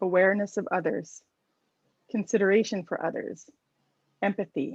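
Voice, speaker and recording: Speaking in a plain, everyday voice, a woman keeps a moderate pace at a medium pitch with ordinary variation. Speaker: workshop organizer. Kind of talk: reading aloud chat responses.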